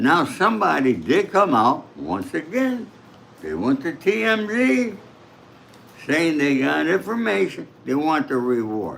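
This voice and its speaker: With a New York accent, the speaker talks at a fairly slow pace, the pitch swinging very widely. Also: man. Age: 80s+. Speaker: true crime commentator. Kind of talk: livestream commentary.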